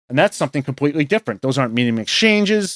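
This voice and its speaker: A man with a New York accent speaks at a fairly high pitch, in a dry, close sound with no echo and a very clean recording with a silent background. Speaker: professional investor. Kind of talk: interview conversation. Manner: hesitant, many fillers.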